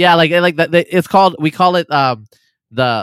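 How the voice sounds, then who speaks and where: In a plain, everyday voice, a man with an American accent speaks at a fairly high pitch with ordinary pitch variation. The recording is very clean, with a silent background and a dry, close sound with no echo. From US, eastern Oregon. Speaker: geneticist and writer. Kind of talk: casual interview conversation.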